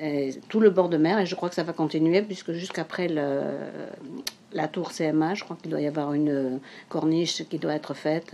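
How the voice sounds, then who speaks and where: Speaking at a moderate pace, a woman has a very deep, low pitch and a dark, mellow tone. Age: 70s. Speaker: amateur photographer. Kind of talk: interview testimony. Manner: halting, many hesitations.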